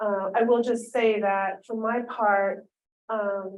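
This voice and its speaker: A woman with an American accent speaks in a dark, mellow tone at a fairly high pitch, her intonation fairly even. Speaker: state legislator. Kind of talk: public meeting update. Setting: video call. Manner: halting, many fillers.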